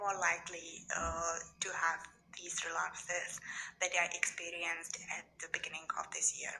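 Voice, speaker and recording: A woman whispers in a non-native accent at a moderate pace. Music plays in the background. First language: not English. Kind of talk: casual talk to camera.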